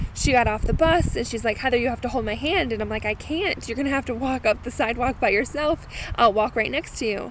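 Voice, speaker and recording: A woman's high voice with an American accent, very fast pace, hardly any pauses, and ordinary pitch variation. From Massachusetts. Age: 30s. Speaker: vlogger sharing cancer experience. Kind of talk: personal video blog. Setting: outdoors. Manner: casual, with filler words.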